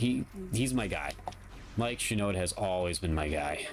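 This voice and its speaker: Music sits in the background as a man speaks. His pace is moderate and his pitch varies an ordinary amount. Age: 30s. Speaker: gaming streamer. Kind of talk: live gameplay commentary. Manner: casual, rambling; occasional stutter.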